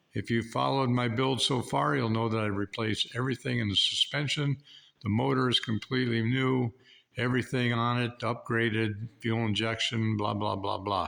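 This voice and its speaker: A man at medium pitch and moderate pace, with ordinary pitch variation, very even loudness and noticeable background noise. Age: 70s. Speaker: hobby car mechanic. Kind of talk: casual talk to camera.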